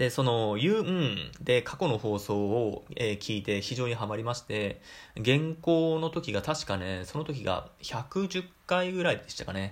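The recording is very clean, with a silent background. A man with a slight Kyushu accent speaks with very wide pitch swings. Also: medium pitch for a man. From Fukuoka, Kyushu. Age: 30s. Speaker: podcaster, office worker. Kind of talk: solo talk radio. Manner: polite casual.

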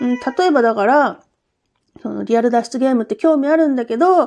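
A woman's voice, high-pitched, with a dark, mellow tone. The background is quiet. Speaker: podcaster reviewing escape games. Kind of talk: casual solo talk.

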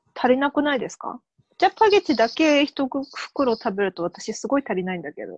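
A woman with a Korean accent, high-pitched and fairly quick, with very wide pitch swings, big jumps in loudness, and a dry, close sound with no echo. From South Korea. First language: Korean (speaking Japanese). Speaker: podcast co-host. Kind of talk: reading aloud. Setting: video call.

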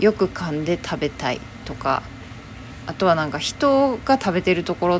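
Against noticeable background noise, a woman with a slight Hyogo accent speaks at a fairly slow pace with long, frequent pauses, her fairly low pitch swinging very widely. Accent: soft Kansai (Hyogo) dialect. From Kobe, Hyogo, Japan. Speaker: actor and solo podcaster. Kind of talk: casual solo talk.

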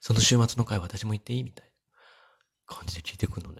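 The voice sounds somewhat breathy, captured on a very clean recording with a silent background. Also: man. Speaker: podcaster and medical researcher. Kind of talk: solo casual talk.

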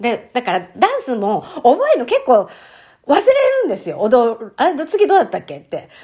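A woman with a high pitch and a dark, mellow tone speaks at a moderate pace. Her pitch swings very widely and her loudness swings a lot. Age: 50s. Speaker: podcast host. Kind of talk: casual monologue. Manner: chatty with frequent fillers.

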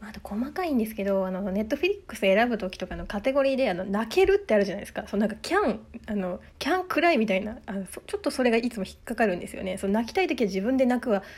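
Speaking very fast with hardly any pauses, a woman uses a fairly high pitch and lively intonation. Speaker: solo podcaster. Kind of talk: casual solo monologue.

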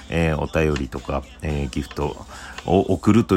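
Music in the background behind a man's moderately paced speech. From Hokkaido, Japan. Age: 30s. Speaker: comedian and radio host. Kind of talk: casual solo radio talk.

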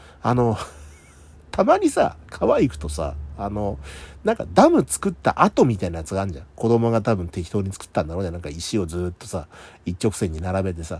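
A man with a very deep, low voice sounds somewhat breathy, showing big swings in loudness and ordinary pitch variation. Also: fairly quick pace, very clean recording, silent background. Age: 40s. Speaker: podcaster. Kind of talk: solo monologue. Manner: casual.

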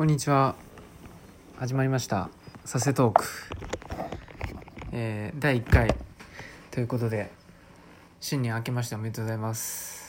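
A man with a medium pitch speaks at a fairly slow pace, with long, frequent pauses and fairly even intonation. His loudness swings widely, and background noise is noticeable. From Chiba, Japan. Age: 20s. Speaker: podcaster and aspiring actor. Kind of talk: casual solo talk. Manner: hesitant, many fillers.

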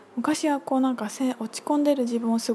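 A woman at a fairly quick pace with ordinary pitch variation and noticeable background noise. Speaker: podcast host and spiritual teacher. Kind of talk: casual solo talk. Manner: fast when absorbed.

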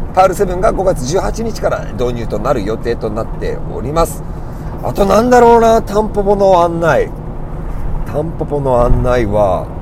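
Amid noticeable background noise and audible room echo, a man talks at a moderate speed. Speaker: game arcade clerk and podcast host. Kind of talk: casual solo talk. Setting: in a car. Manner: loud, raised voice.

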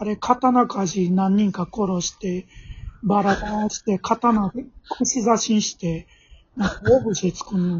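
A man's high-pitched voice with a Kansai accent, fairly even intonation and a fairly slow pace. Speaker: DJ guest. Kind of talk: casual chat.

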